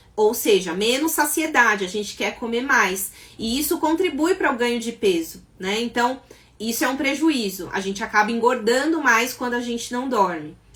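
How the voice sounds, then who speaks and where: Noticeable background noise sits behind a woman with a high pitch. She speaks at a moderate pace with lively intonation. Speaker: psychologist and sleep therapist. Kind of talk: live stream talk. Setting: live stream.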